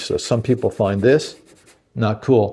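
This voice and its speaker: A man's dark, mellow tone comes out somewhat breathy, with fairly even intonation. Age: 60s. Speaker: guitar reviewer. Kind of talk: product review. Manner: casual, conversational with fillers.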